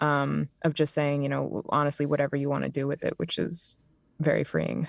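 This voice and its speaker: In a very clean recording with a silent background and a dry, close sound with no echo, a woman speaks at a very deep, low pitch. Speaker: professional audiobook narrator, writer and actress. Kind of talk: interview answer, casual conversation on a podcast.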